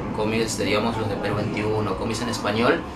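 A man's fairly low-pitched voice over loud music in the background

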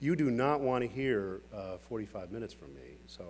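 Against light background noise, a man speaks with vocal fry. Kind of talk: keynote speech. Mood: warm, lightly joking. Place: hall. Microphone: podium.

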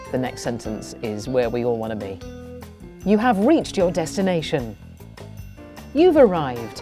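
Over clear music in the background, a woman speaks at a moderate pace with long, frequent pauses and big swings in loudness, the sound dry with no echo. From England. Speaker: TV presenter. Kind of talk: navigation voice prompts, comedic. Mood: playful, jokey. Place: booth. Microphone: studio mic.

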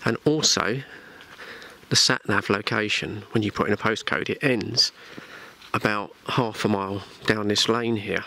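A man speaks at a moderate pace in a fairly low voice, with fairly even intonation. He leaves long, frequent pauses, and the sound is dry with no echo. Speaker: radio hobbyist on holiday. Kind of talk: casual vlog chat. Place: forest. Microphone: phone near.

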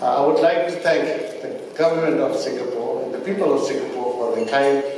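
A man speaks over light background noise, with strong echo filling the room. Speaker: government minister. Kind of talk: formal speech. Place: hall. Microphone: podium.

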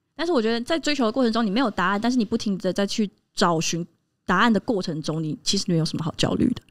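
Against a quiet background, a woman with a fairly high pitch talks at a very fast pace with lively intonation. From Taiwan. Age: 30s. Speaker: podcast co-host. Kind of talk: casual chat. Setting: live podcast recording before a small audience. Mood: reflective, thoughtful. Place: studio. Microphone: studio mic.

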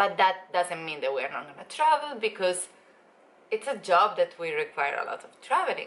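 The pitch swings very widely at a moderate pace. The tone is bright and sharp. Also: woman. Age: 20s. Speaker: travel vlogger. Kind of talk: casual vlog chat. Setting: at home, filming video. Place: home room. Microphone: phone near.

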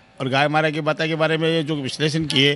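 Recorded dry with no echo, a man talks at a moderate pace. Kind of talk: interview answer. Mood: appreciative, earnest. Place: hall. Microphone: handheld.

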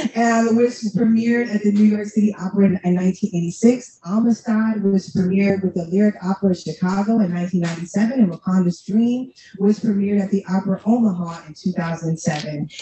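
A woman at a moderate pace with hardly any pauses, audible room echo and light background noise. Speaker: panel moderator, nonprofit executive director. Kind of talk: panel discussion. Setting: stage with audience. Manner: warm and animated. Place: hall.

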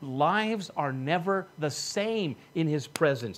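A man with lively intonation and a slightly husky edge

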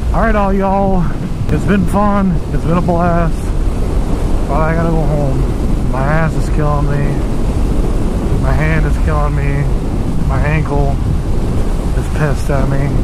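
Over loud background noise, a woman speaks with long, frequent pauses in a dry sound with no echo. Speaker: motorcycle vlogger. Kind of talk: casual vlog chat. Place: motorbike. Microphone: helmet.

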